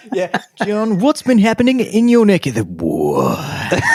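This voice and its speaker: A man puts on a guttural character voice at a high pitch, speaking at a fairly slow pace. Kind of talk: radio presenter patter.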